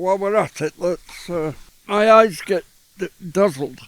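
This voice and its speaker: A man with a Yorkshire accent and a high pitch, talking fairly slowly with ordinary pitch variation. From Yorkshire, northern England. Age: 80s+. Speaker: visual artist, retired art lecturer. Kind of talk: casual interview. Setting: outdoors in a garden.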